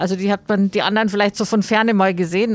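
At a fairly quick pace, a woman uses a normal speaking voice with medium pitch and fairly even intonation. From Bavaria, Mühldorf am Inn. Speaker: aerospace engineer and foundation founder. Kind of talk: interview. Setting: in a moving tram.

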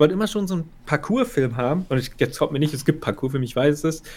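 Here is an ordinary speaking voice with ordinary pitch variation. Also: man. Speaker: film podcast co-host. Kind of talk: casual chat.

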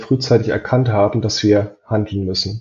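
A man talks fairly slowly with fairly even intonation and a somewhat breathy voice. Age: 30s. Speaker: performance marketing manager. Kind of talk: casual interview.

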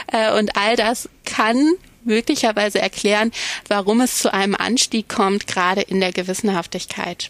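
At a moderate pace, a woman speaks in an ordinary speaking voice with ordinary pitch variation and very even loudness. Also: medium pitch for a woman, dry, close sound with no echo. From Germany, Cologne. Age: 30s. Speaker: psychology professor. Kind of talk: interview.

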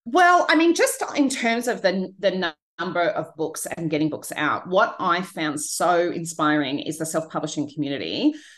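A woman with an Australian accent speaks at a moderate pace with hardly any pauses against a quiet background. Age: 40s. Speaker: author and book coach. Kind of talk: interview conversation. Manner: hesitant with fillers.

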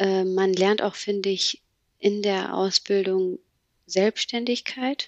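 Very slow pace and fairly even intonation in a dry, close sound with no echo. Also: woman, medium pitch for a woman. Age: 20s. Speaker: trainee office clerk. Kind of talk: casual interview. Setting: video call. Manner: halting, many fillers.

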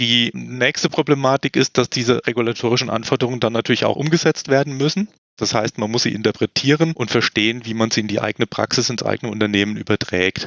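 Barely pausing, a man races along at a very fast pace with a medium pitch and ordinary pitch variation. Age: 50s. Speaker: medical device consultant. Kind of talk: expert interview.

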